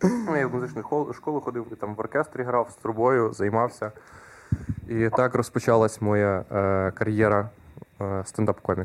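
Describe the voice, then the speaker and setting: A man speaks in a normal speaking voice at a moderate pace. His pitch is medium, with ordinary pitch variation. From Ukraine, Khmelnytskyi region. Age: 20s. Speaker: stand-up comedian. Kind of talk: casual chat.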